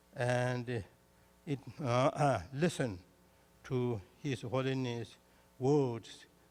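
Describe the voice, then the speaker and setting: A man with a Tibetan accent speaks at a medium pitch. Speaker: Buddhist teacher. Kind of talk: formal welcome speech read aloud. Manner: halting, effortful English.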